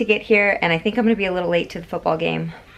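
A woman's voice over noticeable background noise. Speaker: family vlogger. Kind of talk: casual vlog chat. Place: home room.

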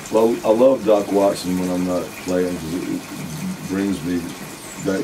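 A man speaks at a moderate pace in a very deep, low voice with an American accent. Noticeable background noise runs underneath. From Alabama. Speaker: musician; interviewee. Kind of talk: casual interview; interview answer. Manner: animated. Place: home room.

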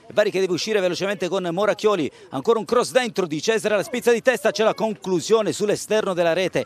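Very fast, animated speech from a high-pitched man, dry and close with no echo, against noticeable background noise. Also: ordinary pitch variation. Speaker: football commentator. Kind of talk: live sports commentary. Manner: rapid-fire, breathless play-by-play; animated, rising on goals.

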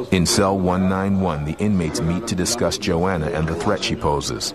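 Noticeable background noise sits behind a man's voice. His pitch is very deep and low, with ordinary pitch variation. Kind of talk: true-crime documentary narration. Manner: grave, measured, ominous, dramatic; clipped, steady, suspenseful delivery.

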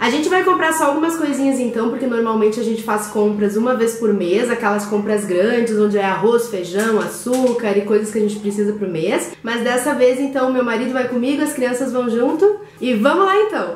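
Speaking at a fairly quick pace, a woman leaves hardly any pauses. Audible room echo and light background noise surround her. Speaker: mother vlogger. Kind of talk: casual vlog chat. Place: kitchen. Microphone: phone near.

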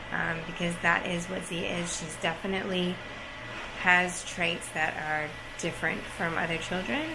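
With music underneath, a woman talks, her pitch varying in an ordinary way. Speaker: parent vlogger. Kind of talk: casual vlog chat. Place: home room. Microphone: phone near.

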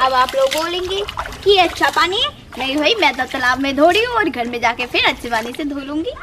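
Over noticeable background noise, a woman speaks at a moderate pace in a raised, projected voice. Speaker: village vlogger. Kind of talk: casual vlog chat. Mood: playful, smiling. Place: waterside. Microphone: phone near.

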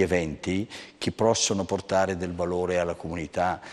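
This is a man speaking. His pitch is very deep and low. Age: 60s. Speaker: bank executive; guest. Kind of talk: interview. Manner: halting. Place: studio.

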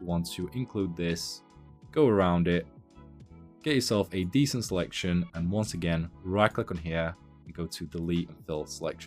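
Faint music plays behind a man with a very deep, low pitch. He talks at a moderate pace with big swings in loudness and ordinary pitch variation. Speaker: tutorial creator. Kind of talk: tutorial. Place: home room.

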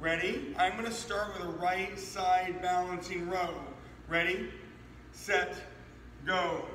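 A raised, projected voice speaks at a fairly slow pace, with audible room echo and light background noise. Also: man. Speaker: fitness trainer. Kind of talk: workout tutorial. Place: gym. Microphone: camera far.

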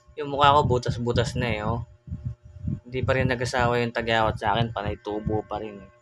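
Against noticeable background noise, a man talks at a very fast pace with big swings in loudness. His medium pitch follows a fairly even intonation. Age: 30s. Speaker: YouTuber. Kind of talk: casual vlog talk with religious exhortation. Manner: hesitant with frequent fillers.

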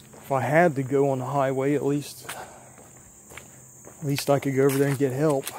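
The pace is moderate, with light background noise. The sound is dry, with no echo. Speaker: urban explorer vlogger. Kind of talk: casual vlog chat. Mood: reflective, slightly uneasy. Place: open country. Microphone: phone near.

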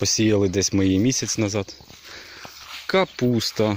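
A man talks fairly slowly in a fairly low pitch, his intonation fairly even. The sound is dry with no echo, and there is light background noise. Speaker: village life vlogger and gardener. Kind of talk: narrated walking tour of a vegetable garden. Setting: outdoors in a garden. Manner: casual, chatty with hesitations. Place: garden. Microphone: phone near.

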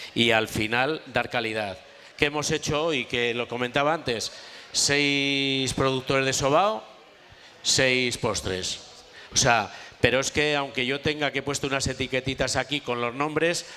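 The speaker is a man with ordinary pitch variation. He goes at a fairly slow pace. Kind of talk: cooking demonstration talk. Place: tent. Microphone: headset.

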